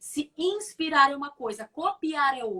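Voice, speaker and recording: A woman projects a raised voice with a bright, sharp tone and very wide pitch swings. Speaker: communication coach, former TV presenter. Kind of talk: live stream interview. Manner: fast.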